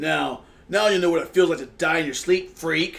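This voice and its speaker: Putting on a raspy character voice, a man speaks at a high pitch and moderate pace. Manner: menacing, spitting the words.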